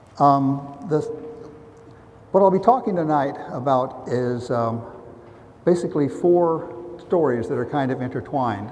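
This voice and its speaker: With an American accent, a man talks in a fairly high pitch and lively intonation, leaving long, frequent pauses. Noticeable background noise and audible room echo come through. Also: fairly slow pace. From US South, Ozarks. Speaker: roboticist. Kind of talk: public lecture. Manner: halting, with fillers.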